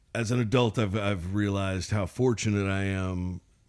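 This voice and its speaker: A man with a Southern US accent speaks at a moderate pace with ordinary pitch variation, on a very clean recording with a silent background. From Mississippi, US South. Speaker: singer-songwriter. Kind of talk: interview. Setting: studio. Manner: halting.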